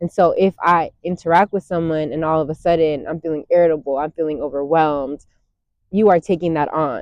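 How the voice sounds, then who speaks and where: An unremarkable speaking voice is heard. The pitch shifts with ordinary variation. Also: woman. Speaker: meditation guide. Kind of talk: guided meditation talk. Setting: outdoors. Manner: warm, calm, conversational.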